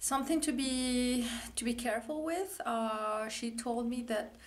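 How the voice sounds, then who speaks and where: The woman talks very slowly. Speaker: horse owner vlogger. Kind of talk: casual vlog chat. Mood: relieved, emotional, grateful. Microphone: phone near.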